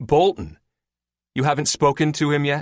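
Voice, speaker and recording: A booming, put-on character voice at a moderate pace. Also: man. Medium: read story.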